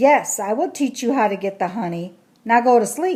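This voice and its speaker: A woman uses a gruff, rumbling put-on character voice at a fairly high pitch. She speaks at a moderate pace with very wide pitch swings. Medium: read story. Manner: gruff, grumbly.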